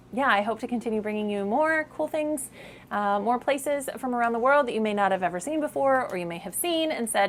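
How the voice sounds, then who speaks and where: A woman's fairly high voice with lively intonation. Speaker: travel vlogger. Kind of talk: casual vlog wrap-up talk to camera. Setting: outdoors on a boat in the islands, self-filmed. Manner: fast; animated.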